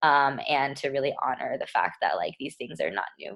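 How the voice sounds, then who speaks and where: With an American accent, a woman talks at a fairly quick pace. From Texas, Lubbock. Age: 20s. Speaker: community organizer. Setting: video call. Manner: casual, many fillers.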